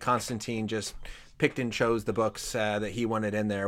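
A man's normal speaking voice, medium pitch, at a fairly quick pace. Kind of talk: interview discussion on Bible. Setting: online livestream with audience.

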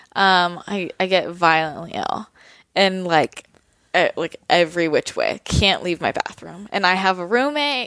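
A woman with a Californian accent speaks fairly slowly at a medium pitch with lively intonation. The sound is dry and close with no echo, over a quiet background. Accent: Californian American. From US West Coast, San Francisco Bay Area. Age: 20s. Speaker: wellness blogger. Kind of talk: casual interview.

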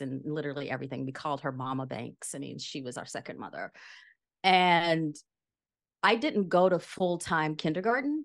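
Against a quiet background, a woman talks at a moderate pace in a very deep, low voice. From rural Louisiana. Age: 50s. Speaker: yoga teacher and author. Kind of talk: interview conversation.

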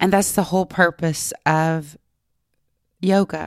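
Recorded very cleanly against a silent background, a woman speaks in a Texan accent with a dry, close sound and no echo. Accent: Texan Southern US. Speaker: yoga instructor and retreat owner. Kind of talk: interview.

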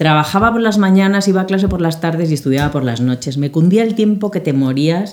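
A woman with a plain, everyday voice speaks at a fairly quick pace, barely pausing. Her pitch sits fairly low, with lively intonation. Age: 50s. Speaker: bridal fashion designer. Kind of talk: casual chat.

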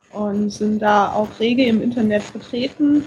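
Fairly high in pitch, a woman speaks slowly enough to be fairly slow in pace. She has an ordinary speaking voice with ordinary pitch variation. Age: 30s. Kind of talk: interview.

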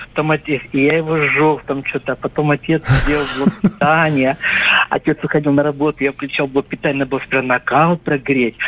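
Over noticeable background noise, a fairly quick delivery with fairly even intonation comes through dry and close with no echo. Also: man, fairly high pitch for a man. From North Caucasus, Russia. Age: 60s. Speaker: caller. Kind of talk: casual reminiscence. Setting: phone call.

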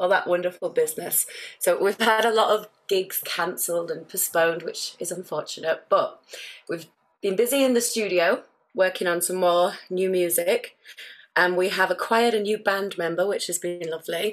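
At a moderate pace, a woman speaks in an ordinary speaking voice with a medium pitch and fairly even intonation. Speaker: musician in a band. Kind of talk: casual interview.

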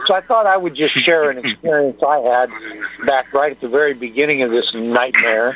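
Male voice, fairly high in pitch with ordinary pitch variation, at a fairly quick pace amid noticeable background noise. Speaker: caller. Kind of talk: casual chat. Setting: phone call.

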